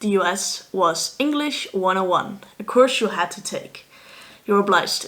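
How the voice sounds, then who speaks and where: Ordinary pitch variation runs through this woman's medium-pitched voice. She keeps a moderate pace. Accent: Dutch. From Netherlands. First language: Dutch. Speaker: vlogger, student athlete. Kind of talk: casual vlog monologue.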